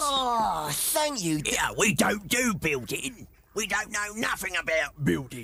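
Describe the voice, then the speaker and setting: A man uses a cartoonish character voice with a high pitch and very wide pitch swings. His voice is raised and projected, and he talks at a fairly slow pace. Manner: cheeky, ungrammatical.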